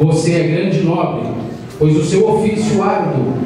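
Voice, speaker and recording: A man's high-pitched voice at a fairly slow pace, with strong room echo and light background noise. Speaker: speaker. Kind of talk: formal speech read aloud. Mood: warm, solemn tribute. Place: hall.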